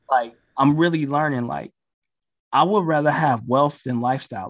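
On a very clean recording with a silent background, a man speaks in a normal speaking voice at a fairly high pitch with ordinary pitch variation. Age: 30s. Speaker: DJ and investor. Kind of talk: casual chat.

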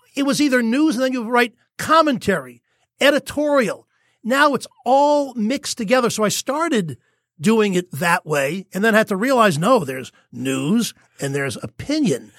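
An extremely high-pitched male voice at a moderate pace, with very wide pitch swings, a dry, close sound with no echo, and a very clean recording with a silent background. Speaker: former TV sports anchor, new podcaster. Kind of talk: casual chat, reminiscing in interview.

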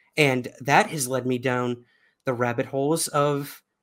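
In a New York accent, a man speaks at a moderate pace with a fairly high pitch and fairly even intonation. The recording is very clean, with a silent background. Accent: New York American. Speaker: UFO researcher and podcaster. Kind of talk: casual interview conversation.

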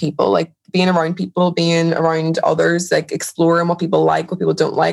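A very fast-paced woman. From Northern Ireland, Derry. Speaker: educator. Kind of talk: interview.

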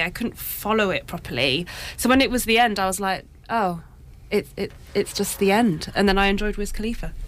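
A woman with a plain, everyday voice talks at a moderate pace with ordinary pitch variation. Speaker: film reviewer. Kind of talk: radio panel discussion. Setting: radio studio.

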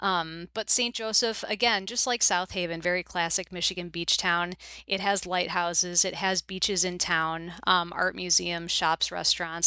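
A woman speaks at a moderate pace with a fairly low pitch and a bright, sharp tone. Her intonation stays fairly even on a very clean recording with a silent background. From US Midwest, Chicago suburbs. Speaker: book editor. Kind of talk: podcast interview.

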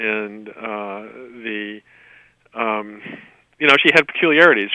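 A man speaks at a medium pitch. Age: 60s. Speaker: author and magazine writer. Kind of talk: interview. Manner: halting, many fillers.

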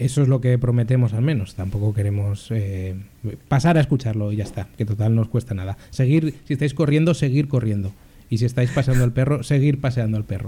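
A man's medium-pitched, somewhat breathy voice with a dark, mellow tone, ordinary pitch variation and a fairly quick pace. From Spain, Zaragoza (Aragon). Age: 20s. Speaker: journalist, podcast co-host. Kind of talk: casual chat.

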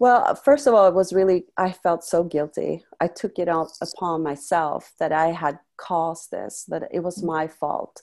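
Against a quiet background, a woman with a Swedish accent speaks at a fairly slow pace. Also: ordinary pitch variation. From Sweden, Stockholm. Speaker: life coach and former model. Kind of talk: interview testimony. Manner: hesitant with many fillers.

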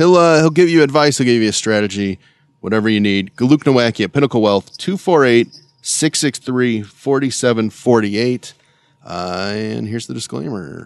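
This is an ordinary speaking voice, a man's at medium pitch with lively intonation and a fairly slow pace. The sound is dry and close, with no echo. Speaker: radio co-host. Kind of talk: casual chat.

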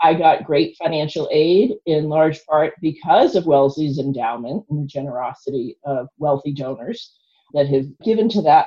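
A woman with a fairly low pitch, an unremarkable speaking voice, lively intonation and a moderate pace. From South Boston, US. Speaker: philanthropy founder and lottery player. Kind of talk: casual interview conversation.

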